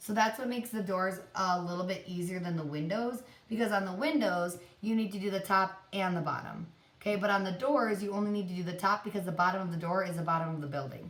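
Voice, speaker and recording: A woman talks at a very fast pace with ordinary pitch variation. Audible room echo surrounds her voice. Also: medium pitch for a woman. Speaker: art teacher. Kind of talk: tutorial.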